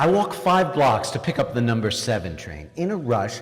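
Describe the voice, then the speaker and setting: A man talks with an American accent. Noticeable background noise sits behind him. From New York, Queens. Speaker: author. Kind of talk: reading aloud from own book.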